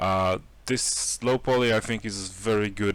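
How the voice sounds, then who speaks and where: A man speaks with a Polish accent at a fairly slow pace in a flat monotone, on a very clean recording with a silent background. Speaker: 3D artist and tutorial maker. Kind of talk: tutorial. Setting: home, late evening. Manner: hesitant, many fillers.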